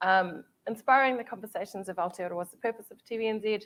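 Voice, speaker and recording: A woman speaks at a medium pitch with lively intonation. She has a New Zealand accent. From New Zealand, Māori. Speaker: TV commissioning executive. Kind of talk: panel discussion.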